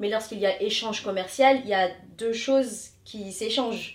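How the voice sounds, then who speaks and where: Her pitch fairly high and her intonation fairly even, a woman speaks at a moderate pace. Noticeable background noise can be heard. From Paris suburbs, France (Hauts-de-Seine), Tamil Indian heritage. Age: 30s. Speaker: yoga consultant. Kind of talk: interview.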